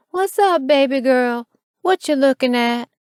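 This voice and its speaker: A female-sounding voice puts on a character voice at a high pitch. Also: moderate pace. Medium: read story.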